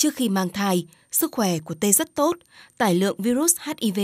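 A woman speaks at a fairly slow pace with very wide pitch swings on a very clean recording with a silent background. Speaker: radio program host. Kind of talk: scripted narration.

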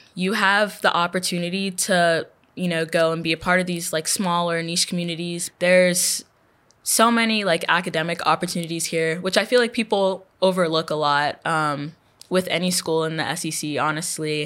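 A plain, everyday voice with an American accent, speaking at a moderate pace with fairly even intonation. The recording is very clean, with a silent background. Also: woman, fairly low pitch for a woman. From Texas, Houston. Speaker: undergraduate researcher. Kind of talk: interview.

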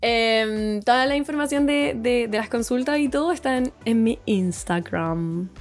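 A woman with a Chilean accent, fairly high in pitch and lively in intonation, at a fairly slow pace with hardly any pauses, very even loudness and a very clean recording with a silent background. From Chile, Santiago. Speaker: nutritionist. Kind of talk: podcast interview.

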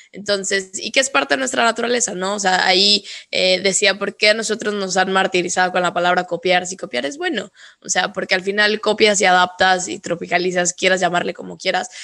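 Speaking at a fairly quick pace, a woman uses a bright, sharp tone and ordinary pitch variation. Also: medium pitch for a woman. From northern Mexico. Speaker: podcast host. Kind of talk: interview.

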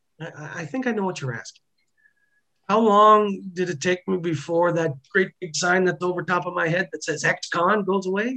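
A man talks in a high voice with a bright, sharp tone. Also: ordinary pitch variation, moderate pace. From central Ontario, Canada. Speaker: former prisoner. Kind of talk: interview testimony.

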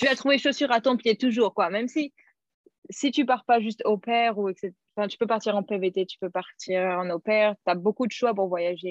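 This woman has an ordinary speaking voice with a fairly high pitch and ordinary pitch variation. Her loudness has big swings. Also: moderate pace, dry, close sound with no echo. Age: 20s. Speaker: former au pair. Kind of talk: interview.

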